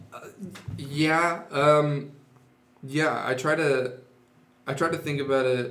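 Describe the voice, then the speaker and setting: A man with an American accent speaks very slowly at a fairly high pitch, in a flat monotone. Long, frequent pauses break up his speech, and the room echo is audible. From Napa Valley, California. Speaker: musician. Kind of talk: casual interview.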